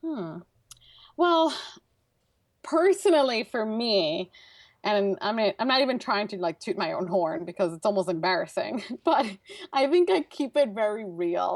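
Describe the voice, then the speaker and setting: In a Brooklyn accent, a woman of medium pitch talks at a moderate pace with long, frequent pauses. Her pitch swings very widely in a dry, close sound with no echo. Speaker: transportation engineer and speaker. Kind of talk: interview conversation. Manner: casual, filler-heavy.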